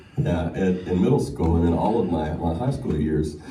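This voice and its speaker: A man with an American accent amid noticeable background noise and audible room echo. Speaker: singer. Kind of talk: acceptance speech. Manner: halting, many fillers.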